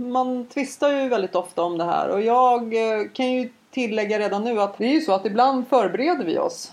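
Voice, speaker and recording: Over noticeable background noise, a woman speaks at a high pitch and a moderate pace. Her pitch varies in an ordinary way. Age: 40s. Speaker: podcast co-host. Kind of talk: casual chat.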